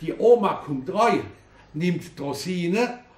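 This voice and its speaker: This is a man speaking. His pitch is high. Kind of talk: poetry reading.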